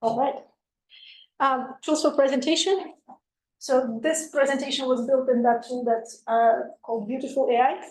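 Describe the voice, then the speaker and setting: Pausing long and often, a woman with a non-native accent speaks at a high pitch. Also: ordinary pitch variation, moderate pace. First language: not English. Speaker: researcher. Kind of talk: lecture. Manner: halting, many fillers.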